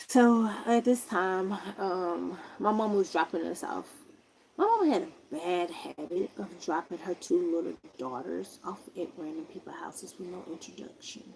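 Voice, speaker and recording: There is noticeable background noise as a woman speaks. Her pace is fairly slow, and her loudness swings widely. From US South, Huntsville, Alabama. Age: 40s. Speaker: live streamer. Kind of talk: casual storytelling on a livestream. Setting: livestream. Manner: animated.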